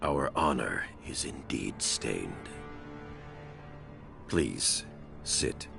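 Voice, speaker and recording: In a put-on character voice, a man speaks in a solemn tone at a very slow pace with long, frequent pauses as loud music plays in the background. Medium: video game. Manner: measured, solemn.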